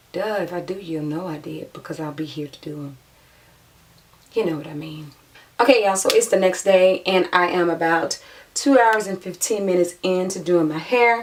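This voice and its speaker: A woman speaks at a medium pitch and moderate pace with ordinary pitch variation and long, frequent pauses. Her loudness swings widely over noticeable background noise. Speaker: beauty vlogger. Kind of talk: tutorial. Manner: casual, chatty.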